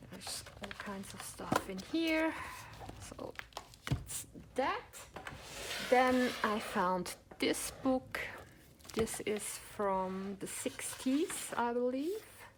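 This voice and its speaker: A woman whispering at a very slow pace, with long, frequent pauses and big swings in loudness. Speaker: crafts vlogger and online shop owner. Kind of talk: show-and-tell haul video. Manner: enthusiastic.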